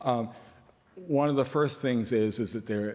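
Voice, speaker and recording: A man's medium-pitched voice at a moderate pace with lively intonation, in audible room echo. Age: 70s. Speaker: company CEO. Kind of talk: conference talk.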